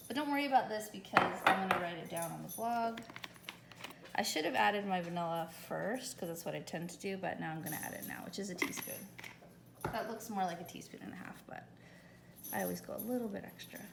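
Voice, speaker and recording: Amid noticeable background noise and audible room echo, a woman at medium pitch talks very fast with big swings in loudness. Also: lively intonation. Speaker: home baker, dessert caterer. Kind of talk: cooking tutorial. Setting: home kitchen.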